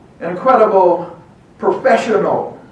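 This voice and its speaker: A man with an American accent speaks at a moderate pace. Noticeable background noise and audible room echo surround his voice. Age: 80s+. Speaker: veteran activist and speaker. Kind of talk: speech. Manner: impassioned.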